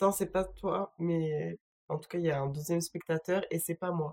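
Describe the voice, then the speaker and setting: Her pace is moderate as the woman talks. Everything sounds dry and close, without any echo. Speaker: streamer. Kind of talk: casual live stream chat. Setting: home, solo live stream.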